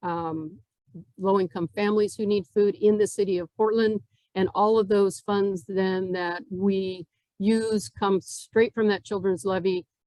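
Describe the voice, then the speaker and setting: In a dry, close sound with no echo, a woman speaks at a medium pitch with fairly even intonation and a dark, mellow tone. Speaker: nonprofit CEO. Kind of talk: club talk.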